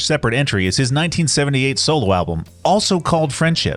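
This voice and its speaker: Over music in the background, a man with an American accent talks at a very fast pace and medium pitch, animated and with very wide pitch swings. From Southeast Pennsylvania, US. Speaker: music reviewer, video host. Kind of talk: scripted video commentary.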